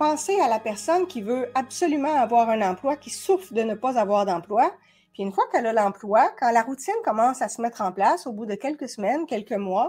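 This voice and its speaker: With a Quebec accent, a woman talks at a fairly quick pace in a high pitch, her intonation lively and her tone animated. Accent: Québécois French. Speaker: body language expert and coach. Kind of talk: educational talk. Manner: fast.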